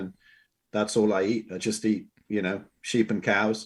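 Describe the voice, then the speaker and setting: With an English accent, a man talks at a moderate pace in a fairly low pitch. His intonation is fairly even, and the background is quiet. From England. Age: 60s. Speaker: health and wellness coach. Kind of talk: podcast interview. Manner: halting, with many fillers and repeats.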